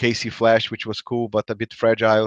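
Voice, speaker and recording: With a Brazilian accent, a man talks at a fairly quick pace, the sound dry and close with no echo and the background quiet. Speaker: tabletop game player. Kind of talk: casual chat.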